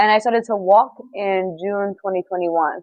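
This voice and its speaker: A woman with a New York accent, medium pitch, fairly even intonation and a moderate pace. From New York City, Bronx. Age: 20s. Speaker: dancer and model. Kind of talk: interview.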